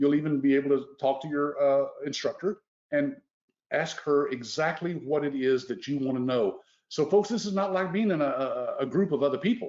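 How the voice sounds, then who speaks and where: At a moderate pace, the speaker uses lively intonation in a Texas accent. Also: man. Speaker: business owner hosting a sales webinar. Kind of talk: sales pitch. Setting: live webinar.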